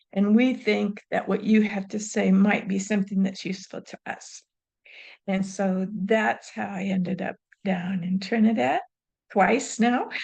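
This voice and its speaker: A woman speaks at a fairly slow pace in a medium pitch. Her voice is somewhat breathy, with fairly even intonation. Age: 70s. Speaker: retired professor and evaluation consultant. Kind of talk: interview.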